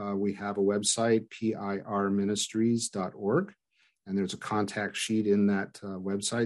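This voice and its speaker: Against a quiet background, a man with an ordinary speaking voice talks at a moderate pace and a fairly low pitch. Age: 60s. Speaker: former pastor, ministry director. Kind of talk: interview conversation.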